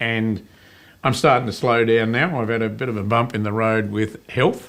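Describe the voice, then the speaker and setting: A man with an Australian accent speaks at a moderate pace and medium pitch with fairly even intonation on a very clean recording with a silent background. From Tasmania, Australia. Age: 60s. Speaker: business owner. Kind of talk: interview. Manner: halting.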